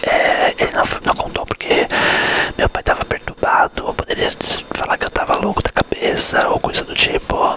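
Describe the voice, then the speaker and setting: A man whispers over noticeable background noise. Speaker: ASMR creator. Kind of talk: ASMR storytelling to camera. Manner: whispered.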